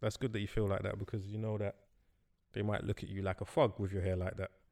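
Talking at a very fast pace, a man with a London accent has a fairly low pitch. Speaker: podcast co-host. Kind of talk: casual chat.

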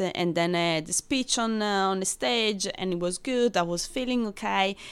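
In a very clean recording with a silent background, a woman speaks with an Italian accent. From Rome, Italy. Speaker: brand ambassador, former bartender. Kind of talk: casual interview.

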